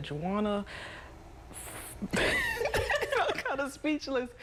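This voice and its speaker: A woman speaks over noticeable background noise. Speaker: television meteorologist. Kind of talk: studio anchor banter with co-anchors.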